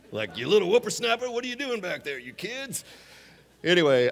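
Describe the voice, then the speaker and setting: Very wide pitch swings from a male speaker. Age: 50s. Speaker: guest preacher. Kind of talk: sermon. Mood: warm, humorous storytelling. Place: church. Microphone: headset.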